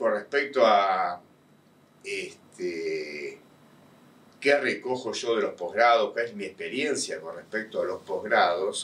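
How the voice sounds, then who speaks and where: A man with a Rioplatense accent, at a very slow pace, with big swings in loudness. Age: 60s. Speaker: university professor, tax specialist. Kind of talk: interview. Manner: hesitant, many fillers.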